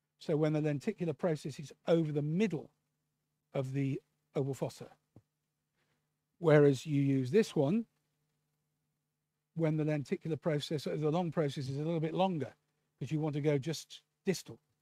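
Recorded very cleanly with a silent background and a dry, close sound with no echo, a man with a British accent speaks in a dark, mellow tone at a fairly high pitch, with ordinary pitch variation, a moderate pace and long, frequent pauses. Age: 60s. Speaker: ear surgeon. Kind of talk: lecture. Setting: conference with audience. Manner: casual.

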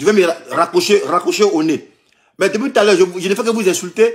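The speaker is a man with a high voice. His pitch variation is ordinary. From Ivory Coast. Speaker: vlogger recounting scam calls. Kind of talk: heated phone argument. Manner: repetitive, exasperated. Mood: indignant, mocking. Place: home room. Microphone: phone near.

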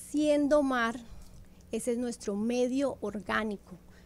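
The speaker is a woman. She has a Colombian accent. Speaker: naturopath promoting sea water therapy. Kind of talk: promotional interview talk. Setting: radio studio. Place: studio. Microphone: studio mic.

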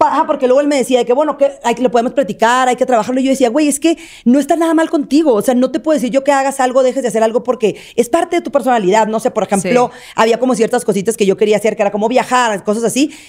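With a high pitch and ordinary pitch variation, a woman talks at a very fast pace with hardly any pauses against a quiet background. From Mexico, Sinaloa. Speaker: content creator. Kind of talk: casual chat. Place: studio. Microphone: studio mic.

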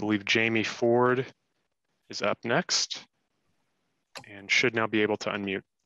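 With a bright, sharp tone and fairly even intonation, a man speaks with long, frequent pauses in a dry sound with no echo. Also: moderate pace, quiet background. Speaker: council staff managing public comment; council meeting staff moderator. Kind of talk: public meeting. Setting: video call. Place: office. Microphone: headset.

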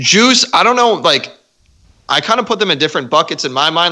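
There's a bright, sharp tone to this man's voice. He speaks at a fairly quick pace with lively intonation over a quiet background. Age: 20s. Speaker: podcast guest. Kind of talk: casual chat. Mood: reflective, serious topic. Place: home room. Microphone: studio mic.

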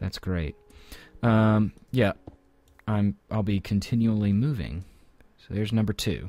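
A man talks at a fairly low pitch and a fairly slow pace, his dark, mellow tone showing ordinary pitch variation. Long, frequent pauses break up his speech, and the sound is dry with no echo. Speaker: gaming let's play host. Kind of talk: casual gameplay commentary.

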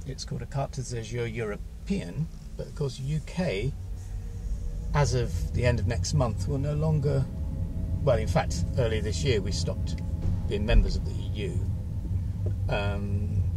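A man talks at a moderate pace with long, frequent pauses, his voice dry and echo-free over music in the background. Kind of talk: casual vlog chat. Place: car. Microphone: camera far.

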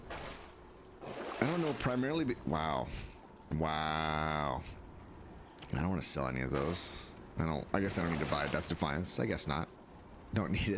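Amid noticeable background noise, a man with a very deep, low pitch and lively intonation talks at a moderate pace, leaving long, frequent pauses. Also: very even loudness. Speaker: gaming streamer. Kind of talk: live gameplay commentary; casual gameplay commentary. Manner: casual, rambling with repetitions. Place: home room.

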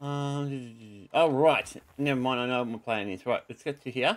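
A man's voice, moderately paced, with a quiet background. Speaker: gaming YouTuber. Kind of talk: gameplay commentary. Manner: louder than usual. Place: home room.

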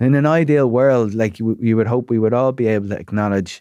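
A man with an Irish accent, dark and mellow in tone, fairly low in pitch with ordinary variation, at a moderate pace, in a dry sound with no echo against a quiet background. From Ireland. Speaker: psychotherapist and broadcaster; podcast guest. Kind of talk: casual chat. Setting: studio. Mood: reflective, candid about struggles. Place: studio. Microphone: studio mic.

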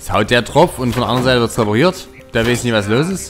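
A man's medium-pitched voice with lively intonation at a fairly quick pace, over music in the background. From Saxony, Germany. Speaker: let's play gamer. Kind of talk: casual gameplay commentary.

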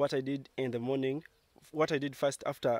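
The man's voice is dry with no echo, and he speaks at a moderate pace. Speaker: village life vlogger. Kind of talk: casual vlog chat. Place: farm machine. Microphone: phone near.

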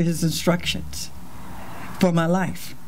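Here is an ordinary speaking voice from a woman at a moderate pace. Her pitch sits fairly low. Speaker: pastor. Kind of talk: sermon. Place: church. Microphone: handheld.

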